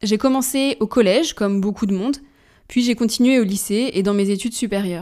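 A fairly quick, fairly high-pitched woman's voice with a dark, mellow tone, on a very clean recording against a silent background. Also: ordinary pitch variation. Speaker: podcast host. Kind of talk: solo podcast monologue.

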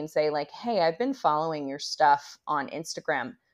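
A woman's ordinary speaking voice, fairly low in pitch, with lively intonation over a quiet background. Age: 30s. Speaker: human design expert and intuitive mentor. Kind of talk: casual chat. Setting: video call.

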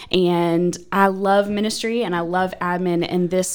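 A woman with an American accent speaks in a fairly low pitch at a fairly slow pace. Her intonation is monotone and flat. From northeastern Pennsylvania, US. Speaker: church administrative assistant. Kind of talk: casual interview chat.

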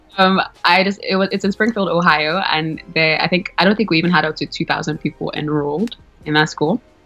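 With music in the background, a woman with a fairly low pitch talks at a fairly quick pace and ordinary pitch variation. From Nigeria, Lagos. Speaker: graduate student, immigrant. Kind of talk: interview. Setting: phone or video call.

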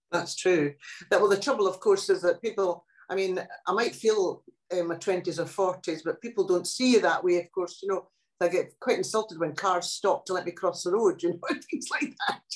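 A woman speaks with a Scottish accent at medium pitch. Her pace is moderate. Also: ordinary pitch variation. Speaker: poet and translator. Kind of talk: interview. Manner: animated.

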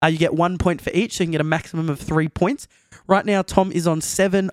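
In a dry, close recording with no echo, a man with an Australian accent speaks at a high pitch with fairly even intonation. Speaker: podcast host. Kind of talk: casual chat.

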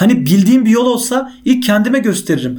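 A man is talking. His pace is fairly quick. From Central Anatolia, Turkey (Konya/Nevşehir). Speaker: podcast host. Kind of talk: monologue podcast. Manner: casual, conversational.

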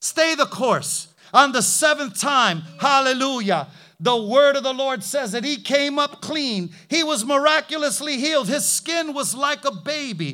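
With music in the background, a man uses a raised, projected voice at an extremely high pitch, with an animated tone, lively intonation and a fairly slow pace. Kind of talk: sermon. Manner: vivid, punchy and rhythmic, with repeated short phrases.

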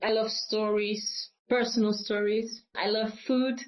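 In a Limburg accent, a woman talks at a fairly slow pace. Her fairly high voice stays monotone and flat. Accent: Dutch (Limburg) accent in English. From Netherlands, Limburg (south). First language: Dutch. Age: 20s. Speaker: classical singer. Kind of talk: interview conversation. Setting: video call.

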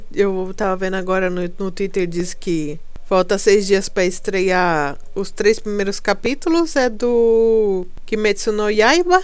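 In audible room echo, a woman speaks at a very slow pace with hardly any pauses and ordinary pitch variation. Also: medium pitch for a woman. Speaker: podcast host. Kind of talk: casual solo monologue. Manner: halting, repeats words.

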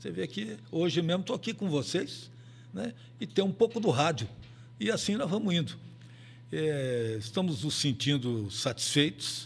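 A man with vocal fry, a fairly high pitch and very wide pitch swings, at a moderate pace with long, frequent pauses. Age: 80s+. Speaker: veteran radio and sports broadcaster. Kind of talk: casual interview. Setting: studio, live video stream.

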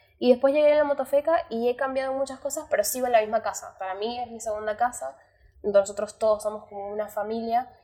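At a very fast pace, a woman speaks in a fairly high voice with a dark, mellow tone. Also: ordinary pitch variation, big swings in loudness. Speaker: coffee roaster and barista. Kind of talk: interview.

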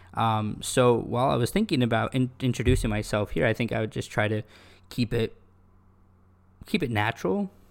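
With long, frequent pauses and vocal fry, a man of medium pitch talks with ordinary pitch variation, recorded very cleanly against a silent background. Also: fairly quick pace. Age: 20s. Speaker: golf professional and podcast host. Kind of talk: casual solo monologue.

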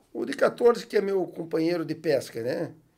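The man's tone is dark and mellow. His pitch is fairly high. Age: 40s. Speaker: TV network executive and sport fisherman. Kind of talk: casual chat.

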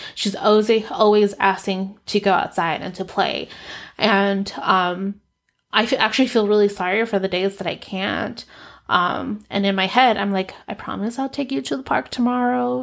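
In a very clean recording with a silent background, a woman with an unremarkable speaking voice talks at a moderate pace, at medium pitch with ordinary pitch variation. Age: 30s. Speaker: podcast host and coach. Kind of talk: casual solo podcast monologue, personal storytelling. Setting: home office studio with ring light and camera. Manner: conversational, with frequent laughs.

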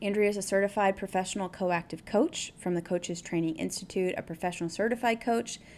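A woman talks at a fairly quick pace and medium pitch. Hers is an unremarkable speaking voice. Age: 40s. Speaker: podcast host. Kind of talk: interview; scripted intro.

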